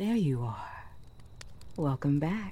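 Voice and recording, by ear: A woman puts on a character voice, low in pitch with a dark, mellow tone. She speaks slowly, with big pitch swings.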